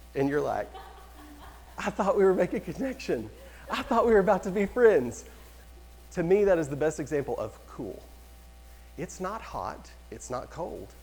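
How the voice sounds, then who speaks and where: A man talks at a moderate pace with big swings in loudness. Long, frequent pauses break up his speech. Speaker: real estate trainer. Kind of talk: lecture. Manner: animated.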